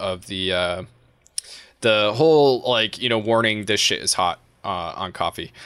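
A man's fairly low voice, an unremarkable speaking voice, carries ordinary pitch variation. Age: 30s. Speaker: podcast host and YouTuber. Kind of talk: casual chat.

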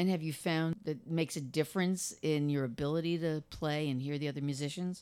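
A woman with a New Jersey accent, a very deep, low pitch and a dark, mellow tone, with fairly even intonation, a fairly quick pace and hardly any pauses. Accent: New Jersey American. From New Jersey, Monmouth County. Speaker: podcast host. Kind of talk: interview conversation.

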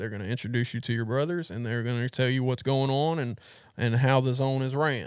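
A man with an American accent talks at a fairly quick pace and medium pitch. It is an ordinary speaking voice in a very clean recording with a silent background. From US South, Gulfport, Mississippi. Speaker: recovery ministry leader. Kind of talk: testimony. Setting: studio.

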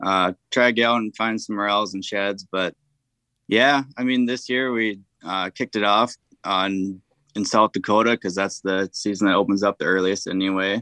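Against a quiet background, a man with an Upper Midwest accent speaks at a moderate pace and fairly low pitch, his bright, sharp tone and fairly even intonation captured in a dry, close sound with no echo. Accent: Upper Midwest American. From southeast Minnesota. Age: 20s. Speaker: hunter. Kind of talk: casual interview.

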